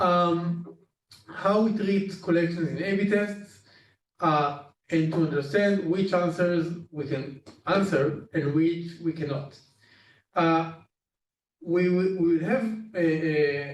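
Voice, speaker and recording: With a non-native accent, a man of high pitch speaks at a very slow pace with fairly even intonation and long, frequent pauses, his voice carrying audible room echo. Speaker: data team lead. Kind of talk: internal training presentation. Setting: Zoom session. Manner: halting, many fillers.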